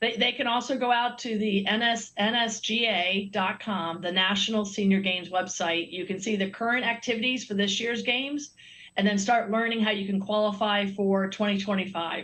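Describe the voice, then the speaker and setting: A woman speaks at a moderate pace and medium pitch with an unremarkable speaking voice. Her intonation stays fairly even, with hardly any pauses. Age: 60s. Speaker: Olympic swimmer and sponsor representative. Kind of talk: TV interview.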